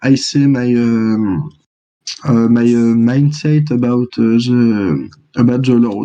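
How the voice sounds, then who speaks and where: In a French accent, a man speaks very slowly at a medium pitch with a dark, mellow tone, ordinary pitch variation and very even loudness. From France. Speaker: board game champion. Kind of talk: interview. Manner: halting, many fillers.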